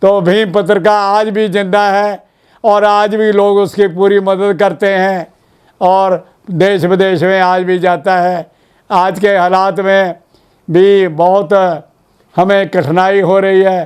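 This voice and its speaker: This is a man with a high voice. He speaks in a monotone, with flat intonation. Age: 90s. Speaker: Ambedkarite editor and publisher. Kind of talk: interview.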